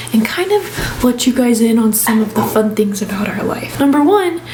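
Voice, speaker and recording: Over noticeable background noise and audible room echo, a woman with an American accent talks at a moderate pace in a high pitch. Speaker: family vlogger. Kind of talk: casual vlog talk. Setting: bedroom at home. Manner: soft-spoken.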